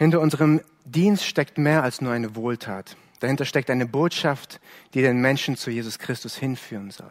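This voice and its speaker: A man speaks in an ordinary speaking voice at medium pitch and a moderate pace, with ordinary pitch variation. The recording is very clean, with a silent background. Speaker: preacher. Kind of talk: sermon, earnest preaching to a congregation, explaining a Bible text. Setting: church. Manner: earnest, measured and warm, pastoral, with some self-correcting repetitions.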